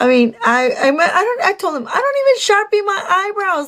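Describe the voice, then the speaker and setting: A woman with a Mexican accent speaks in an animated tone, her pitch swinging very widely. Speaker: vlogger. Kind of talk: storytime monologue.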